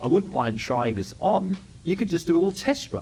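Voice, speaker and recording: An Australian accent comes through in an animated tone with very wide pitch swings. The pace is very fast. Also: man. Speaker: entrepreneur and speaker. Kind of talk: public talk. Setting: stage with audience.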